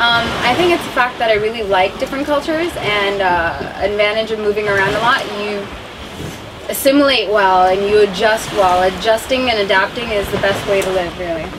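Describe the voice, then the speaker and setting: A woman with an American accent, medium pitch, a fairly quick pace, noticeable background noise and audible room echo. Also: ordinary pitch variation. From India, then New Zealand, Australia and California. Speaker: model and actress. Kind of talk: interview.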